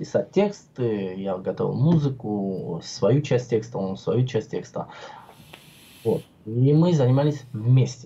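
With long, frequent pauses and a very slow pace, a man speaks in a somewhat breathy, medium-pitched voice that has a dark, mellow tone and lively intonation. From Georgia (Tbilisi), Armenian. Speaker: vaping video blogger. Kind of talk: casual chat. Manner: animated.

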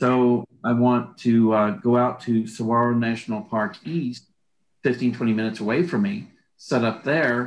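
A man with an unremarkable speaking voice, medium pitch, and a fairly slow pace. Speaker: artist and art teacher. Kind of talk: casual interview.

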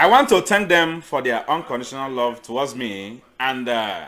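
With a bright, sharp tone, a man talks at a very slow pace using lively intonation. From eastern Nigeria. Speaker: missionary and agricultural student. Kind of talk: sermon.

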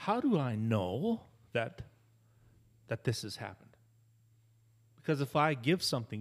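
This very clean recording of a man has a silent background. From Canada. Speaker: pastor. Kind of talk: casual chat.

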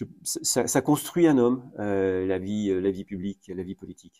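In a very clean recording with a silent background, a man with a fairly low pitch and a dark, mellow tone speaks at a very slow pace. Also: dry, close sound with no echo. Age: 50s. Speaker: mayor. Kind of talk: interview. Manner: halting.

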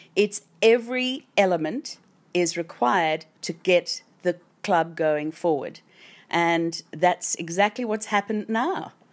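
A woman's fairly low voice with lively intonation at a very slow pace, on a very clean recording with a silent background. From South Africa. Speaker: widow of former football captain. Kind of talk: casual interview.

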